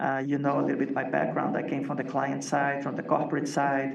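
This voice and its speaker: A man speaks at a fairly high pitch and a fairly quick pace. Room echo can be heard. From Latin America. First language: non-English. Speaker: agency executive and author. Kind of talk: interview.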